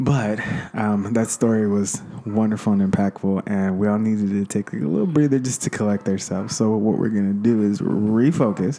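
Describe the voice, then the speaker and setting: Noticeable background noise sits behind a man with an American accent. His pitch is fairly low, with ordinary variation. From US, grew up in a Chicano neighborhood. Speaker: podcast host. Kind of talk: casual interview. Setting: guests' home.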